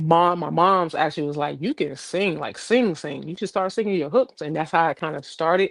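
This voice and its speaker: A woman with an American accent and an ordinary speaking voice talks at a fairly quick pace with hardly any pauses, her fairly low pitch showing ordinary variation. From Jamaica, then Florida. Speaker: singer and rapper. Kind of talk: casual interview chat.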